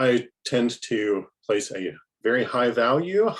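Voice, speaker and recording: Lively intonation marks this man's speech. He has an American accent and a medium pitch. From Appalachia, US. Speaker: writer, panelist. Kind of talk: panel discussion.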